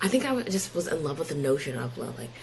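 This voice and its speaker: A woman speaks with an American accent. Noticeable background noise runs underneath. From Pennsylvania. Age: 20s. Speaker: podcast guest. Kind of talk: interview. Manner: casual.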